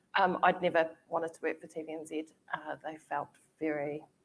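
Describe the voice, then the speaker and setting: The speaker is a woman with a New Zealand accent. She talks at a moderate pace. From New Zealand, Māori. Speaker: TV commissioning executive. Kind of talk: panel discussion.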